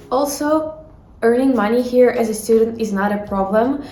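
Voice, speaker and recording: A woman with a fairly high pitch talks at a fairly slow pace with ordinary pitch variation, and noticeable background noise is present. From Ukraine. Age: young. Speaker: university student. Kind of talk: casual talk to camera.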